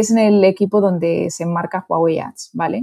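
A dark, mellow tone in a Castilian accent, with ordinary pitch variation, in a very clean recording with a silent background. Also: woman. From Spain (Toledo). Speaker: advertising executive. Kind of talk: interview.

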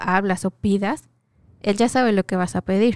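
A woman speaks in a dark, mellow tone with flat, monotone intonation. The background is quiet. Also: dry, close sound with no echo. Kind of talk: casual chat. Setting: radio studio booth. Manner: talkative.

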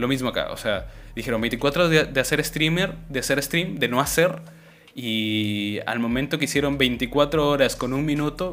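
A man's voice with vocal fry at a moderate pace. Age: 20s. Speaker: podcast host. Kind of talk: casual chat. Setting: live stream.

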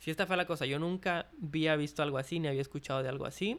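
Over a silent background in a very clean recording, a man speaks very fast at a fairly high pitch with fairly even intonation. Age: 20s. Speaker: podcast host. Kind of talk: casual monologue. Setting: hotel dining room, open space. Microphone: possible echo, no pop filter.

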